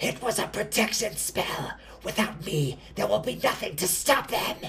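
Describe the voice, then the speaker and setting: With clear background noise behind him, a man puts on a hoarse, high character voice at a moderate pace. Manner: desperate, choking out words.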